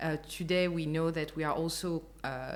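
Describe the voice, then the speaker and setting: A woman's very deep, low voice with a French accent. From France. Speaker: customer experience executive. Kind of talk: interview. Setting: apartment in Lisbon. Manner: hesitant, many fillers.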